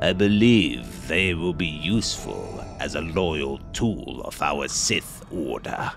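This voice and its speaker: Clear music plays in the background as a put-on character voice speaks at a very slow pace. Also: man. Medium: machinima. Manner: calm, menacing.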